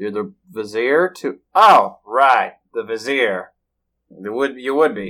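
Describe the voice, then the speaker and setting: A man with a Southern US accent at a very slow pace, medium pitch, lively intonation, big swings in loudness and a bright, sharp tone. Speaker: tabletop role-play player. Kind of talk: tabletop role-play session, casual and in character.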